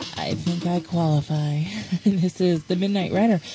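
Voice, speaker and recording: A woman's fairly low voice over clear music in the background, with a dry sound with no echo. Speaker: radio DJ. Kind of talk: radio DJ aircheck. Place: studio.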